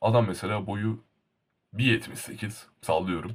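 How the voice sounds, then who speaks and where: The man's voice is somewhat breathy. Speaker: YouTuber. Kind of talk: casual vlog monologue. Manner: animated.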